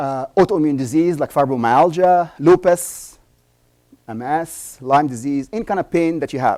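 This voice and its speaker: A man speaks at a moderate pace with fairly high pitch and ordinary pitch variation. His tone is dark and mellow, and the sound is dry and close with no echo. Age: 60s. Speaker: doctor and conference speaker. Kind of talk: conference talk. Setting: stage with audience. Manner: animated.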